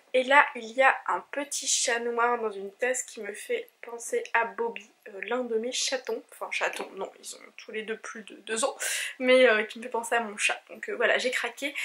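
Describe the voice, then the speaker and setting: Speaking at a fairly slow pace over noticeable background noise, a woman with a high pitch keeps her intonation fairly even while her loudness swings widely. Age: 20s. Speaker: knitting vlogger. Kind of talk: casual vlog talk. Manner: hesitant with fillers.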